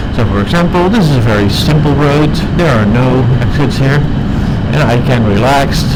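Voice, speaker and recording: A man talks at a medium pitch and moderate pace, with ordinary pitch variation and very even loudness. Noticeable background noise and audible room echo are present. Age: 30s. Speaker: motorcycle vlogger. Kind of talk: casual ride commentary. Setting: outdoors on a motorcycle.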